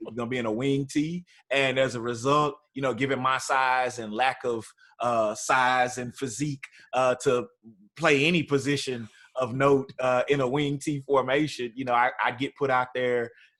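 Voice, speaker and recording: Speaking at a moderate pace with an East Texas accent, a man delivers his medium-pitched voice in a monotone, flat intonation. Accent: East Texas Southern US. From East Texas (Tyler). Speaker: university student affairs administrator. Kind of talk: podcast interview.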